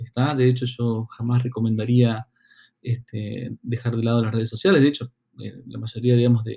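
A man's somewhat breathy voice, dark and mellow in tone, medium in pitch, at a moderate pace. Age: 40s. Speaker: marketing consultant and podcast host. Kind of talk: solo educational podcast monologue. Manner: halting, many fillers and repeated words.

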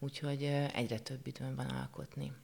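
A woman speaks with a very deep, low pitch. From Hungary, Székesfehérvár. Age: 40s. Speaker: art teacher and painter. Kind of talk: interview. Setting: studio. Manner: halting.

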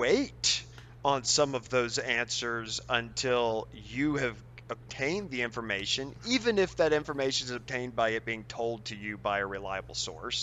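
An unremarkable speaking voice from a man at medium pitch, with a moderate pace and ordinary pitch variation. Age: 40s. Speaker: high school science teacher. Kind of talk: casual interview.

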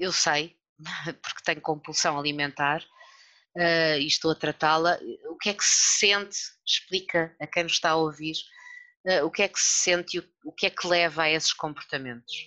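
Bright and sharp in tone, this voice keeps a fairly even intonation at a moderate pace with long, frequent pauses. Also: woman, fairly low pitch for a woman. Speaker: podcast host, journalist. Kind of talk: interview.

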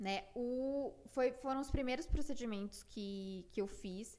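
A woman's plain, everyday voice, fairly high-pitched, at a fairly slow pace. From Brazil, Piracicaba (São Paulo state interior). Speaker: plastic surgery resident doctor. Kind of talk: casual interview chat.

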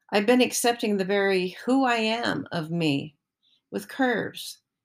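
Recorded very cleanly against a silent background, a woman with a normal speaking voice talks fairly slowly at medium pitch with lively intonation. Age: 60s. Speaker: personal essayist. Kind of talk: reading aloud. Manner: reflective.

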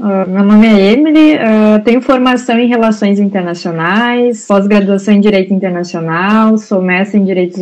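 Noticeable background noise sits behind a woman with a fairly high pitch. She talks at a moderate pace with ordinary pitch variation. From Brazil. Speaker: migration aid worker. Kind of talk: panel discussion.

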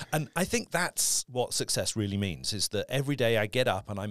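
A man with a British accent talks at a moderate pace and medium pitch with lively intonation, the sound dry and close with no echo. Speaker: voice actor. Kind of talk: casual interview chat.

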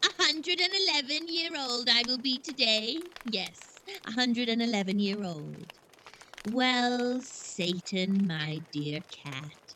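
In a put-on character voice, a female-sounding speaker uses a high pitch, very wide pitch swings and a very slow pace. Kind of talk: 1930s horror radio host. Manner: cackling, relishing the spooky tale.

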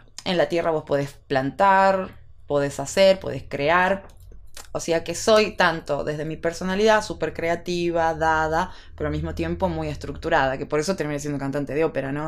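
At a moderate pace, a woman talks with fairly low pitch, a plain, everyday voice and ordinary pitch variation. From Salta, northwestern Argentina. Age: 30s. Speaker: opera singer. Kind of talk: casual chat.

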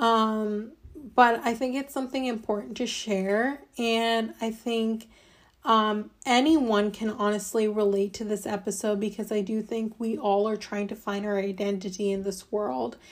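Speaking slowly, fairly so, a woman with a Midwestern accent uses a fairly high pitch and fairly even intonation. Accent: General American (Midwest). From US Midwest, Ohio. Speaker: podcast host. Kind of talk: personal monologue.

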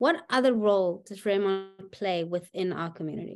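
A woman with an ordinary speaking voice at a medium pitch and a moderate pace, with ordinary pitch variation and a quiet background. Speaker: chamber of commerce president and podcast host. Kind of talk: interview host.

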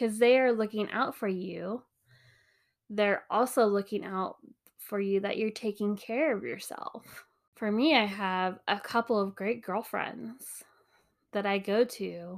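Heard on a very clean recording with a silent background, the speaker has an unremarkable speaking voice. The pace is fairly slow, with ordinary pitch variation. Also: woman, medium pitch for a woman. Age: 30s. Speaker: podcast host, mom. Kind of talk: casual monologue. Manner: casual, frequent laughs and fillers.

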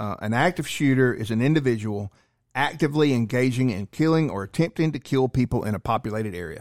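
A man's normal speaking voice, medium in pitch and fairly quick, with a dry, close sound with no echo on a very clean recording with a silent background. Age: 40s. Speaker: firearms and self-defense instructor. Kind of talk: casual chat.

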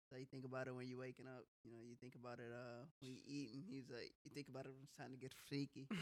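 A man with an American accent at a medium pitch, very fast pace, hardly any pauses and flat, monotone intonation. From Wisconsin. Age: 20s. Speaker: podcast host. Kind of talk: casual chat.

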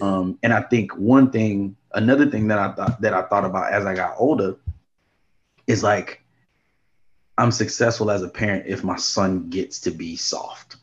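This man has a fairly low pitch with ordinary pitch variation. He talks at a moderate pace. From Houston / New Orleans, US South. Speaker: podcast co-host, former teacher. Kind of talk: casual chat. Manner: animated.

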